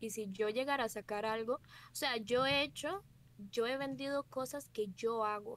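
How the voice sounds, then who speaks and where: In a plain, everyday voice, a woman speaks fairly slowly at a fairly high pitch with fairly even intonation. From Costa Rica. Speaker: streamer. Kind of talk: casual chat.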